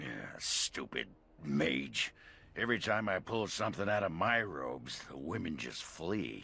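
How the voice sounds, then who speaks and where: Putting on a character voice, a man speaks at a moderate pace, very deep, low in pitch, and raspy. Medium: video game. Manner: gruff, crude.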